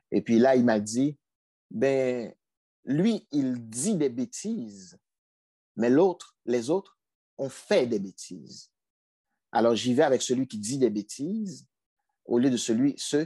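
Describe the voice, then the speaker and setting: Speaking at a very slow pace with long, frequent pauses, a man with a dark, mellow tone and lively intonation sounds dry and close with no echo against a quiet background. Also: medium pitch for a man. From Haiti. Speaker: provincial politician. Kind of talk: interview.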